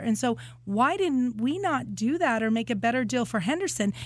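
An ordinary speaking voice from a woman, fairly high-pitched, fairly quick, with lively intonation. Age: 50s. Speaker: city council candidate and kindergarten teacher. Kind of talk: interview.

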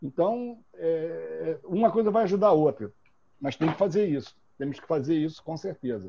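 A man's dark, mellow, fairly high voice at a moderate pace, with very wide pitch swings. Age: 60s. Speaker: football club presidential candidate. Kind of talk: interview. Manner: halting.

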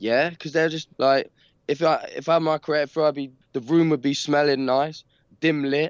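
Against a quiet background, the voice comes at a moderate pace with monotone, flat intonation and a dry, close sound with no echo. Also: man, fairly high pitch for a man. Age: young. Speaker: rock band lead singer. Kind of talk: casual interview chat. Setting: remote call. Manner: halting, repetitive filler speech.

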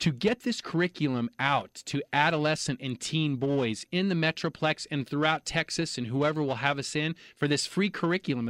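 Recorded dry and close with no echo over a quiet background, a man talks at a moderate pace in an unremarkable speaking voice, his fairly high pitch showing ordinary variation. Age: 40s. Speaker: nonprofit advocacy coordinator, former government investigator. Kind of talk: interview. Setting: studio.

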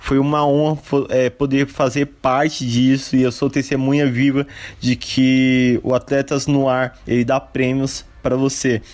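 A man with a medium-pitched voice speaks fairly slowly in a flat monotone, keeping his loudness very even. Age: 20s. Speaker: listener and volleyball player. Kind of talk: testimony.

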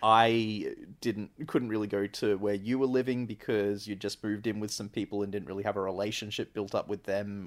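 A man with an Australian accent speaks at a moderate pace in a fairly low pitch. His intonation is monotone and flat, and the recording is very clean with a silent background. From Australia (central Queensland). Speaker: podcast host's cousin. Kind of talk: casual chat. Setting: on a couch in an apartment.

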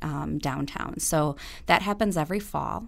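Very deep and low in pitch with vocal fry, a woman with an American accent speaks with ordinary pitch variation on a very clean recording with a silent background. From US Midwest, Madison, Wisconsin. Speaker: city street vending coordinator. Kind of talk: interview.

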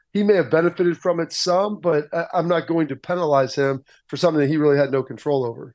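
Against a quiet background, a man talks very fast at a fairly high pitch with ordinary pitch variation. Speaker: former football player, analyst. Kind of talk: radio interview. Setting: phone call.

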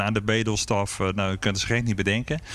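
It is a plain, everyday voice with ordinary pitch variation. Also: man. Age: 40s. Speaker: beer café owner and brewer. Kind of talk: interview. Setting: empty restaurant in a fort.

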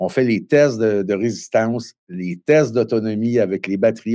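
A man at a moderate pace. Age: 50s. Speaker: electric bike manufacturer. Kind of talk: interview. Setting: remote link.

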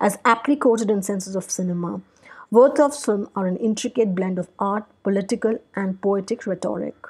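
A somewhat breathy woman at a moderate pace. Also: medium pitch for a woman, ordinary pitch variation. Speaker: podcast host. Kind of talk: solo podcast talk on film history. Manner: hesitant, frequent fillers and repetitions.

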